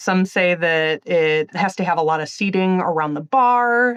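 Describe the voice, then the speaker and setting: With a strong Wisconsin accent, a woman speaks at medium pitch and a moderate pace with ordinary pitch variation over a quiet background. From Illinois. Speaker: magazine editor. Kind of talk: interview.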